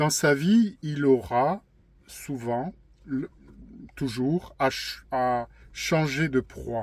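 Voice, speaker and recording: A man speaks at a very slow pace, with long, frequent pauses and ordinary pitch variation. His voice sits fairly high for a man, on a very clean recording with a silent background. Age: 50s. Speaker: YouTuber sharing personal testimony. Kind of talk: personal testimony monologue. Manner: halting, frequent hesitations and repetitions.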